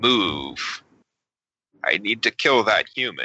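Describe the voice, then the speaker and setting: A man's put-on character voice at a very slow pace. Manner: strange, unnatural.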